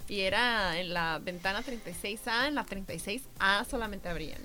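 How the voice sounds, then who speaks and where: Very slowly, a woman speaks in a bright, sharp tone, with audible room echo around her. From Mexico. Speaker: travel podcast co-host. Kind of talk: casual chat.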